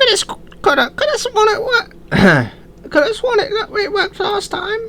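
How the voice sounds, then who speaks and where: This is a put-on character voice at an extremely high pitch. It moves at a moderate pace over clear background noise. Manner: flustered, defensive.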